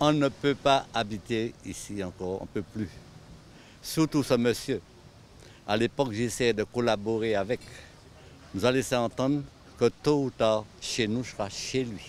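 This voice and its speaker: This man talks at a fairly slow pace with long, frequent pauses. His pitch is medium with ordinary variation. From Martinique, Le Carbet. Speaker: local resident. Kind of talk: documentary interview. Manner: emphatic.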